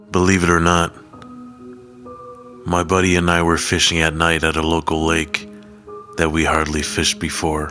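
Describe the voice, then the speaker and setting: With music in the background, a man with a very deep, low voice speaks at a moderate pace in a monotone, flat way, leaving long, frequent pauses. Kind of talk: horror story narration.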